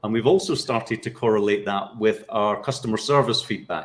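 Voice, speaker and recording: A man speaks with a Scottish accent. His pace is fairly quick and his intonation fairly even. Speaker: civil service training director. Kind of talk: panel discussion.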